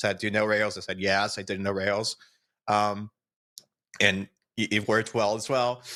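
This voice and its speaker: A man with a Portuguese accent speaks at a moderate pace, pitched fairly low with a bright, sharp tone. The very clean recording sounds dry and close, with no echo and a silent background. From Brazil. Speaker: software developer. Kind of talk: interview.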